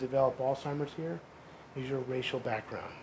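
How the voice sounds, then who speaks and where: A man's voice against noticeable background noise. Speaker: physician researcher. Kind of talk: lecture.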